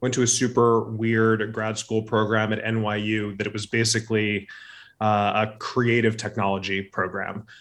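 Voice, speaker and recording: Against a quiet background, a man with an American accent talks fairly slowly at a fairly low pitch with monotone, flat intonation. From Southern California, Orange County. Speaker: media agency innovation executive. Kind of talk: interview. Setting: video call.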